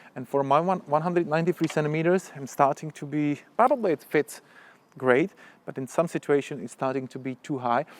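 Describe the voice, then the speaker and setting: Recorded dry and close with no echo, a man speaks with a Czech accent at a fairly high pitch. His pitch varies ordinarily, but his loudness swings a lot. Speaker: motorcycle vlogger. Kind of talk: product review tutorial. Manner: halting.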